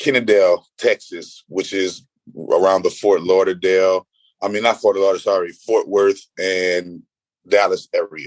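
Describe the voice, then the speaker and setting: The speaker has a New Orleans accent and keeps a moderate pace. The sound is dry and close, with no echo. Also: man. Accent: New Orleans US Southern. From New Orleans, Louisiana. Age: 30s. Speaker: spiritual healer. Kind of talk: podcast interview. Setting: remote call from a roadside room.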